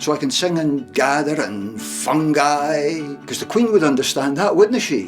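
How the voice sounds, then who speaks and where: With music playing behind him, a man talks at a fairly slow pace. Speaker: storyteller. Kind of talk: storytelling.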